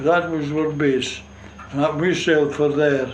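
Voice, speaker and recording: With a strong North East Scottish accent, a man speaks slowly-ish at a fairly slow pace, his pitch fairly high with ordinary variation, and audible room echo in the recording. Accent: strong North East Scots dialect (Doric). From North East Scotland, Gourdon fishing village. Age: 90s. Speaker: war veteran, retired fishing skipper. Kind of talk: oral history interview. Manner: halting, hesitant.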